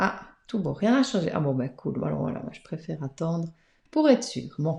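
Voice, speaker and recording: A soft-spoken woman with fairly low pitch and a dark, mellow tone talks at a moderate pace, with vocal fry, very wide pitch swings and big swings in loudness. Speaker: tarot card reader. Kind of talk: live-streamed card reading. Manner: hesitant, many fillers.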